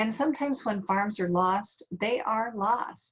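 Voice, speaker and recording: Here a woman speaks with an American accent. Her voice is somewhat breathy. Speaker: workshop presenter on farm succession. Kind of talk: online workshop presentation. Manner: soft-spoken.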